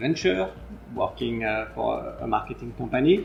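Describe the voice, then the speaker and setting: A man with a French accent speaks over noticeable background noise. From France. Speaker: sports marketing entrepreneur. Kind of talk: interview. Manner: halting with fillers.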